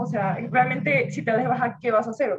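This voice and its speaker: A woman with a normal speaking voice talks at a fairly quick pace with lively intonation. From Venezuela. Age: 20s. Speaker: university student. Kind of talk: casual chat.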